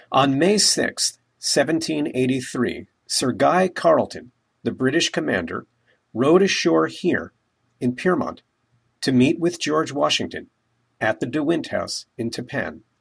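Very slow speech on a very clean recording with a silent background. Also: man. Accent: American. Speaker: local history educator. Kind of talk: scripted narration. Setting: outdoors.

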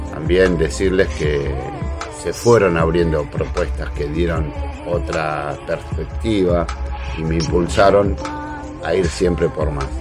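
Over clear background music, a man speaks very slowly. His voice is very deep and low. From Argentina. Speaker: national broadcaster and radio host, sports. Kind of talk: casual talk to camera, self-introduction. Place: home room. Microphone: webcam.

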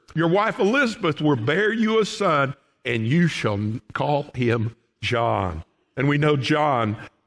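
Against a quiet background, a man with a Southern US accent talks at a very slow pace, his fairly high pitch swinging very widely while his loudness stays very even. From Oklahoma. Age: 60s. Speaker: pastor. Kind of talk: sermon. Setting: church. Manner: folksy. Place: church.

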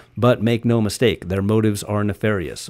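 Speaking at a medium pitch, a man uses a dramatic tone. The recording is very clean, with a silent background. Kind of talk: audiobook-style reading aloud of a conspiracy text, with a short chatty intro. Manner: earnest, urgent and dramatic, with a slightly sarcastic aside and self-corrections.

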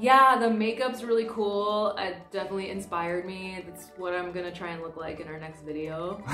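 A woman with an American accent at a fairly quick pace, hardly pausing, with ordinary pitch variation, big swings in loudness, audible room echo and faint music in the background. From United States. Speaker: comedian. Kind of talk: casual talk to camera. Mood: amused, enthusiastic. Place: home room.

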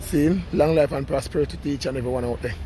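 A man's fairly quick speech with ordinary pitch variation, dry and echo-free, over light background noise. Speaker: vlogger walking. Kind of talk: casual vlog chat, life advice. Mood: relaxed, philosophical, laughing. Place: street. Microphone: phone near.

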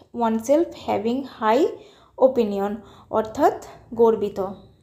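A woman's voice sits high in pitch. The tone is dark and mellow. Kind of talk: lecture.

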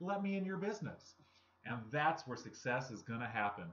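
A man's fairly high voice at a fairly quick pace, with very wide pitch swings. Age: 30s. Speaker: network marketing vlogger. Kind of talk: motivational talk to camera. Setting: home recording. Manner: casual, conversational. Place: home room. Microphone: webcam.

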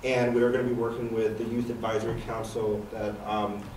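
Noticeable background noise sits behind the recording. A man talks in a fairly low, monotone voice with flat intonation. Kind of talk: presentation to a public commission. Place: meeting room.

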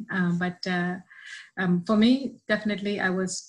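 A woman talks with fairly even intonation and a somewhat breathy quality. The background is quiet. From southern India. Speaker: church member; interview guest. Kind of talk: testimony. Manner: halting. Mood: warm, heartfelt personal testimony. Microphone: video call.

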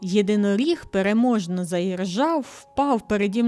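Natural-voiced reading aloud of a text.

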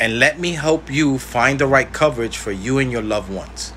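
The speech moves at a moderate pace. Light background noise sits underneath. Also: man. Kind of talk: informational talk to camera. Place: home room. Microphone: phone near.

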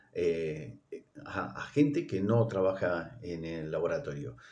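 A man's dark, mellow voice at a fairly low pitch, with very wide pitch swings and a very slow pace. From Argentina. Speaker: clinical laboratory professional. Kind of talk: recorded greeting message. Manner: halting, many fillers. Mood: warm, congratulatory. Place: home room. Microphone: phone near.

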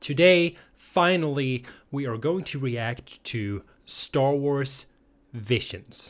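With little noise behind him, the man talks with lively intonation. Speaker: reaction channel host. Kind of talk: casual vlog chat. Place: home room. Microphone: studio mic.

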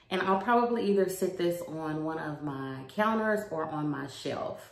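With audible room echo, a woman talks at a fairly slow pace in a fairly low pitch, using ordinary pitch variation. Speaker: home decor vlogger. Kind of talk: casual vlog chat. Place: home room. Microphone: phone near.

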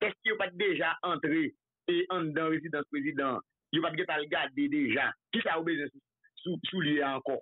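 With a Haitian accent, a man speaks at a moderate pace with ordinary pitch variation, the sound dry with no echo and the background quiet. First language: Haitian Creole (speaking French). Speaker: political commentator. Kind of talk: political talk show discussion. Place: studio.

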